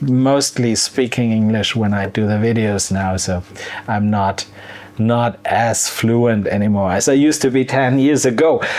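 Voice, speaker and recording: Very slow speech from a man with a German accent at medium pitch, fairly even in intonation, with noticeable background noise. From Germany, wine region. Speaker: cooking youtuber. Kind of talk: casual Q&A vlog. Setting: outdoor beer garden. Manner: halting, many fillers and repeats.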